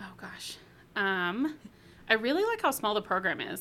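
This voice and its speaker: A woman with an American accent speaks at a moderate pace in a bright, sharp tone with vocal fry. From Northern California, US. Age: 30s. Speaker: graduating hospitality student. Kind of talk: interview.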